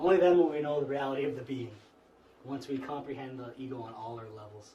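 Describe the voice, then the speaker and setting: A man of medium pitch talks with ordinary pitch variation, and room echo is audible. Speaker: spiritual teacher. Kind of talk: lecture. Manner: fast; halting.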